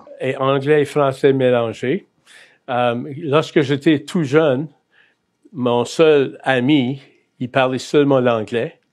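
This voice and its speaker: A man in an Acadian accent, medium-pitched, very slow, with fairly even intonation and long, frequent pauses. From Acadia, New Brunswick (Bathurst, north shore). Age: 60s. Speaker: Salvation Army chaplain. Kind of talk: testimony interview. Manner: hesitant, many fillers.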